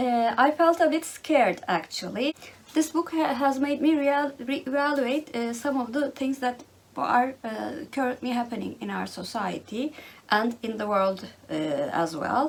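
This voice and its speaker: Over noticeable background noise, a woman with a Turkish accent speaks at a fairly slow pace, high in pitch and lively in intonation. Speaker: book vlogger. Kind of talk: casual monologue. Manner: halting, many fillers.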